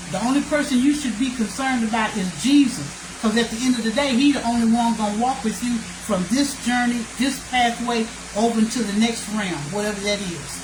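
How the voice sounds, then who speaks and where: A woman's fairly high voice at a fairly quick pace, with ordinary pitch variation, audible room echo and noticeable background noise. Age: 70s. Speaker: livestreamer. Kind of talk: casual chat. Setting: at home, live video.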